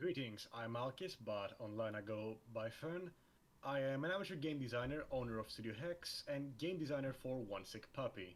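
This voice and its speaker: A man speaks at a moderate pace in a normal speaking voice, his medium pitch carried by lively intonation. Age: young. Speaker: game designer. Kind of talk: casual chat.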